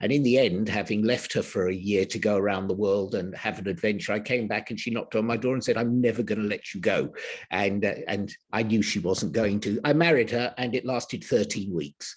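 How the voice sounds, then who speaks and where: With an English accent, a man speaks at a fairly quick pace using ordinary pitch variation. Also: hardly any pauses. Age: 70s. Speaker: healer. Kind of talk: interview. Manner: halting.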